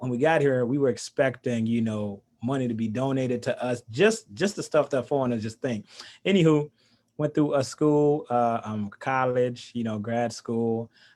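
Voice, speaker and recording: A man speaks at a moderate pace with medium pitch and ordinary pitch variation. He has a normal speaking voice. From Haiti, moved to US at seven. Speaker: coach and trainer. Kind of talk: interview.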